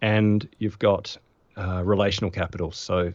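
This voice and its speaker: An Australian accent from a man with a fairly low pitch, fairly even intonation and a quiet background. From Australia, Adelaide. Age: 40s. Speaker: productivity expert and former physiotherapist. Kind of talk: podcast interview.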